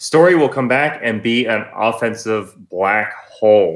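A normal speaking voice at a fairly slow pace. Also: man. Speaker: podcast co-host. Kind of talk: casual sports podcast discussion.

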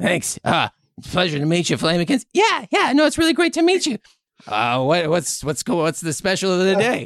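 A put-on character voice at middle pitch and a moderate pace, against a quiet background. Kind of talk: comic improv. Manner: friendly, casual, chatty.

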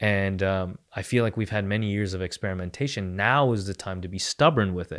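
A man speaks at a fairly quick pace with hardly any pauses, in an ordinary speaking voice with a fairly low pitch and ordinary pitch variation. The recording is very clean, with a silent background. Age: 20s. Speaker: podcast host, video creator. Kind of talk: casual chat.

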